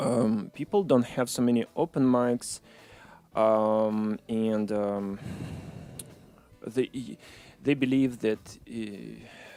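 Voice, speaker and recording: A man with a Russian accent and a dark, mellow tone, medium pitch, fairly even intonation, a very slow pace and long, frequent pauses. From Ukraine (Odessa), born in Moscow. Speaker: musician. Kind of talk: interview. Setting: studio. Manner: halting, many fillers.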